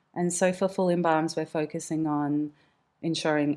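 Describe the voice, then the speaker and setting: In a very clean recording with a silent background, a woman with an Australian accent speaks at a moderate pace in a very deep, low, dark and mellow voice with monotone, flat intonation. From Western Australia. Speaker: mortician and embalmer. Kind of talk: interview conversation.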